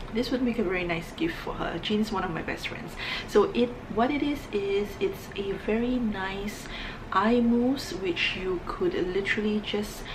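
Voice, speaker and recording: Soft-spoken and fairly high-pitched, a woman talks at a fairly slow pace amid audible room echo and noticeable background noise. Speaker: beauty vlogger. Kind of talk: casual vlog monologue.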